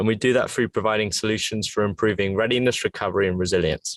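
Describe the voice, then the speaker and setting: A man's medium-pitched voice in an English accent, very fast pace, ordinary pitch variation, dry, close sound with no echo. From England. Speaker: fitness tech entrepreneur. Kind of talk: interview.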